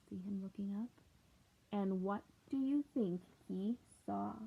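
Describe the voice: At a fairly slow pace, a woman speaks at medium pitch with a slightly husky edge, some vocal fry and ordinary pitch variation.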